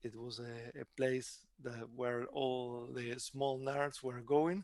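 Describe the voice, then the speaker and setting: A man talks with an Argentine accent. The background is quiet. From Argentina. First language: Spanish. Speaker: tech company CEO. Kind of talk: interview. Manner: halting.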